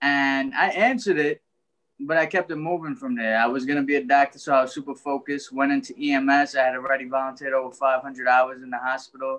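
The delivery is very fast, with a New York accent and fairly even intonation. The background is quiet. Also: man, fairly high pitch for a man. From Brooklyn, New York (Trinidadian family). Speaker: author and life coach; life coach. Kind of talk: interview. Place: home room. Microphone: video call.

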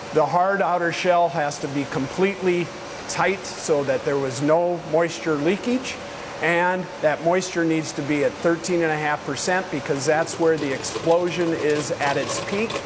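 Amid clear background noise, a man talks at a fairly slow pace with few pauses, his fairly high voice showing ordinary pitch variation.

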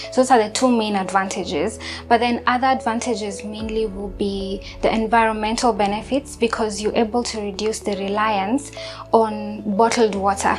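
Clear music plays in the background as a woman speaks at a moderate pace. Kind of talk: interview answer. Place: kitchen. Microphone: lapel.

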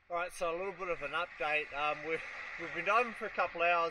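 The man's pitch sits high. His tone is bright and sharp.

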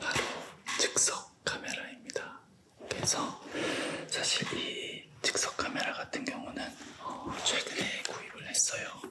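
A man whispers very slowly, with long pauses that come often. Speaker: university business professor. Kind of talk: ASMR whispered interview. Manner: whispered. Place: studio. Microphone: studio mic.

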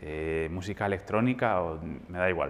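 Speaking at a fairly slow pace, a man uses a very deep, low pitch and fairly even intonation. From Spain, Madrid. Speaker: jazz pianist and music teacher; music teacher. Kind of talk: masterclass lecture. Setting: hall with live audience. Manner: halting, many fillers. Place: hall. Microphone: lapel.

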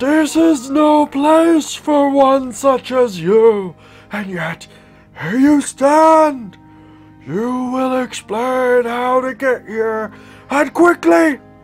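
A put-on character voice, high-pitched and delivered at a very slow pace. Faint music plays in the background.

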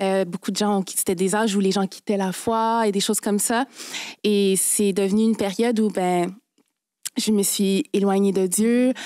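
A woman speaks at a fairly slow pace in a dark, mellow tone, her loudness very even and her intonation monotone and flat, with a dry sound free of echo over a quiet background. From Quebec, Haitian parents. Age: 20s. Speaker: lawyer. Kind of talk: testimony. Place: studio. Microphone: studio mic.

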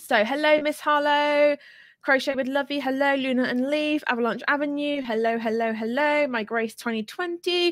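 A woman speaks at a moderate pace in a high voice. The background is quiet. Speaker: small business coach. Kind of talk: casual livestream chat. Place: home room. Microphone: studio mic.

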